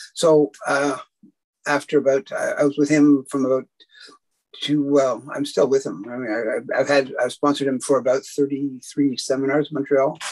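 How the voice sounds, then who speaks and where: A man speaks with a Canadian accent at a fairly high pitch and a moderate pace. His intonation is monotone and flat, and the background is quiet. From Canada. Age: 60s. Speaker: martial artist and martial arts historian. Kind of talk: casual interview. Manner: halting, many fillers and restarts. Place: home room. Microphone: video call.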